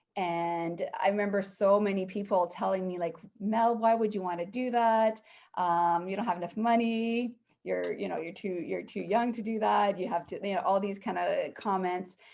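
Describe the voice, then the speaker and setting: A woman talks at a moderate pace in an ordinary speaking voice, medium in pitch and fairly even in intonation. The background is quiet. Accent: Canadian. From Canada. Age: 40s. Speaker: real estate investor. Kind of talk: podcast interview.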